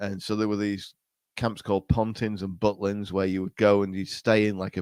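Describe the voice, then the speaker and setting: A man speaks in an English accent at a fairly low pitch. The sound is dry and close, with no echo. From England. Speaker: podcast guest, podcaster. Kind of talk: casual chat. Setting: remote call. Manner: animated.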